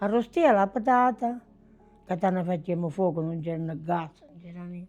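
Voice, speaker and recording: Music plays in the background as a woman in a southern Italian accent talks at a moderate pace and a medium pitch. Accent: southern Italian (Basilicata). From southern Italy, province of Potenza. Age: 90s. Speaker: grandmother recalling wartime childhood. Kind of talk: personal testimony, interview answer.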